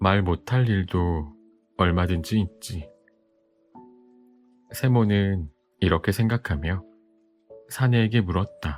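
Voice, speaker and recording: Over music in the background, a man with a very deep, low voice speaks at a very slow pace, his loudness very even, his pitch varying in an ordinary way, with long, frequent pauses. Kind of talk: bedtime audiobook reading. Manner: soft, calm.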